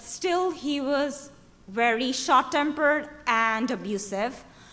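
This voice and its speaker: With a Bengali accent, a woman speaks at a very slow pace in a high pitch. Her tone is bright and sharp, and audible room echo surrounds it. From Bangladesh. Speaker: activist. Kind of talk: conference speech. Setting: stage with audience. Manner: halting.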